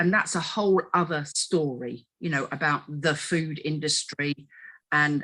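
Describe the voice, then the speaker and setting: A woman with an English accent speaks at a very slow pace on a very clean recording with a silent background. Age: 60s. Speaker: dieting expert. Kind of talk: podcast discussion.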